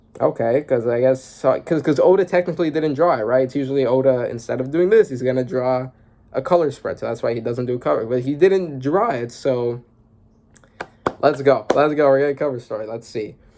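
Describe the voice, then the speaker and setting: Against noticeable background noise, a man talks at a fairly quick pace in a medium pitch, with ordinary pitch variation. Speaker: manga reaction youtuber. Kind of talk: casual reaction commentary. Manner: fast; animated.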